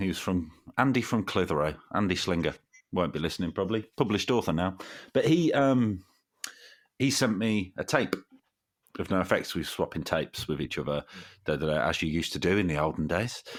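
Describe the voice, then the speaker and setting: With an East Midlands accent, a man talks fairly quickly in a very deep, low voice with lively intonation and long, frequent pauses. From Derby, East Midlands, England. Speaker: podcast guest, fellow podcaster. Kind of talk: casual chat.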